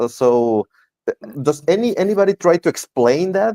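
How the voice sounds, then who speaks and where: Dark, mellow tone from a man with a Mexican accent, lively intonation and moderate pace, in a dry, close sound with no echo. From Mexico. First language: Spanish. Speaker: interviewer and interpreter. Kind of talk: interview. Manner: halting.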